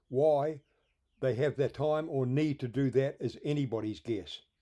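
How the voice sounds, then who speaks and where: A man speaks with a New Zealand accent at medium pitch. His tone is dark and mellow, with ordinary pitch variation. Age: 60s. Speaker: filmmaker and firewood salvager. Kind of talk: documentary narration.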